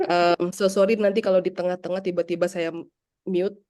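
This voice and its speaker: A woman's medium-pitched voice at a fairly quick pace, in a monotone with flat intonation. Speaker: English teacher trainer. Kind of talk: workshop presentation.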